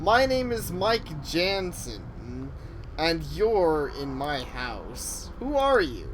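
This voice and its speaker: Over clear background noise, a man puts on a character voice and speaks at a very slow pace. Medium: game stream. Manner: stammering, panicky.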